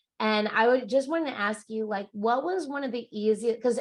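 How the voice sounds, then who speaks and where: A woman's fairly high voice with ordinary pitch variation against a quiet background, a plain, everyday voice. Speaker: network marketing team leader. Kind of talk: business training video call. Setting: video call.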